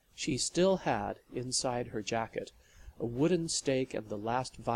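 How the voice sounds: The voice reads naturally. It sounds like a natural reading voice throughout.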